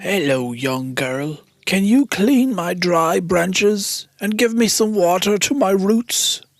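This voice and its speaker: A put-on character voice at a middle pitch and a fairly slow pace. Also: hardly any pauses. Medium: read story.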